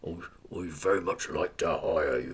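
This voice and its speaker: A man does a put-on character voice. He keeps a moderate pace. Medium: read story. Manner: smooth, amused, commanding.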